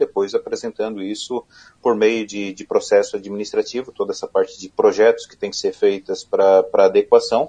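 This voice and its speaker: A man talks at a moderate pace. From southern Santa Catarina, Brazil (Criciúma). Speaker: environmental engineer, regulatory inspection manager. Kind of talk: live radio interview. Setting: radio studio.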